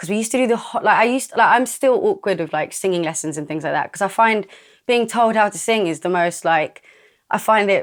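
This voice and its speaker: A woman's medium-pitched voice with lively intonation at a very fast pace, on a very clean recording with a silent background. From London, England. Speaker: singer. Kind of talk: casual interview monologue. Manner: casual, hesitant with many fillers.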